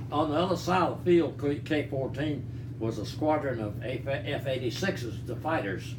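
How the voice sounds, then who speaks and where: Here a man of medium pitch speaks at a moderate pace with hardly any pauses. His pitch varies in an ordinary way, and background noise is noticeable. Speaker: Korean War veteran. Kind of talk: interview answer.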